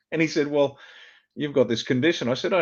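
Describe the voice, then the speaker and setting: With an Australian accent, a man talks at a very fast pace. His pitch varies in an ordinary way. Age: 60s. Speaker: former army officer. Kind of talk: interview.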